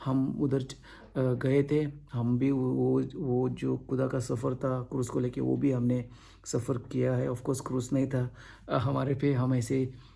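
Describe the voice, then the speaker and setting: Audible room echo surrounds a man with a dark, mellow tone. He is somewhat breathy, and his intonation is monotone and flat. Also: medium pitch for a man. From India (Goa). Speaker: pastor. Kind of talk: sermon. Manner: halting.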